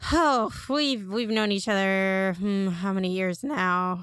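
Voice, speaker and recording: A woman's put-on character voice at a medium pitch and fairly slow pace. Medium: actual play. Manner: friendly, eager.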